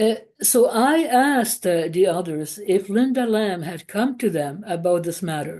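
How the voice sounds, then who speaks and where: At a fairly slow pace, a woman with a non-native accent speaks at medium pitch, with a dark, mellow tone and lively intonation over a quiet background. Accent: foreign. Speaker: former Jehovah's Witness. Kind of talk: testimony. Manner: halting, many fillers.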